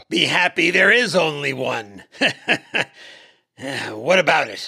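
In a put-on character voice, a man speaks at a fairly slow pace with a high pitch. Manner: relaxed, breezy, wry.

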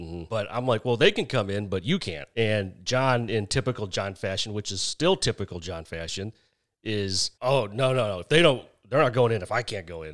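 A man's lively intonation at a moderate pace, in a very clean recording with a silent background. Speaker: podcast guest on dating. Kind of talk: casual chat. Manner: funny, good speaker once warmed up.

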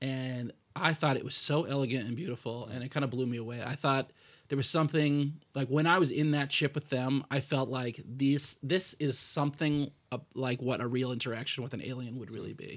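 Over a very clean recording with a silent background, a man with an American accent talks in an ordinary speaking voice at a medium pitch, with fairly even intonation and a fairly quick pace. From United States. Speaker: film podcast co-host. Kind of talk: casual chat.

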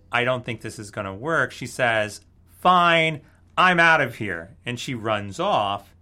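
On a very clean recording with a silent background, the man's intonation is lively. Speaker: podcast host. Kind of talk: casual chat.

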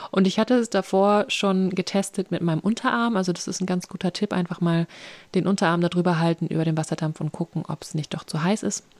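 On a very clean recording with a silent background, a woman uses an unremarkable speaking voice at medium pitch with fairly even intonation, the sound dry and close with no echo. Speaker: podcast host. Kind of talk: casual interview chat. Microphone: voice sometimes robotic and slow due to internet connection.

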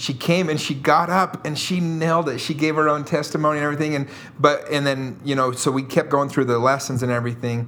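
There is noticeable background noise behind this man. His fairly high voice moves at a fairly quick pace with fairly even intonation. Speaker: real estate entrepreneur, former missionary. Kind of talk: storytelling anecdote in interview.

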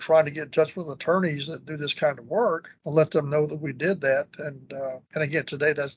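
A man with a fairly high, somewhat breathy voice talks at a fairly quick pace. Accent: Texan. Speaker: business valuation expert. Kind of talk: casual interview.

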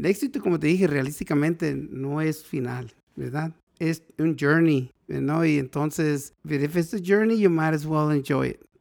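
A man's fairly high voice, a plain, everyday voice, at a fairly slow pace. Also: ordinary pitch variation. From northern Mexico, Mexicali. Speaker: pediatric doctor. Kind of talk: casual interview.

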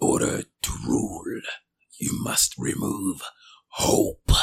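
A man puts on a raspy character voice and speaks at a very slow pace. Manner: mysterious.

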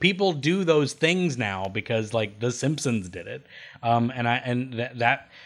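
With a normal speaking voice, a man of medium pitch speaks at a fairly slow pace with lively intonation, in a very clean recording with a silent background. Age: 30s. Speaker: animation podcast host. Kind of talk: casual chat.

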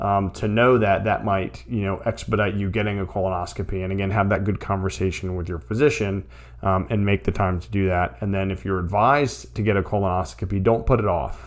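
Lively intonation and vocal fry run through this fairly quick delivery. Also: man. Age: 40s. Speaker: podcast host. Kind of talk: solo podcast monologue. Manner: casual, frequent fillers.

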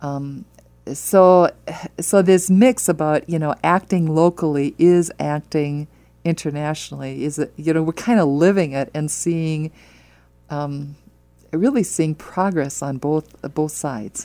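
A woman's very deep, low voice with a dark, mellow tone, an American accent and a fairly slow pace. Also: ordinary pitch variation. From US Midwest (Wisconsin). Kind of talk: radio interview. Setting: studio.

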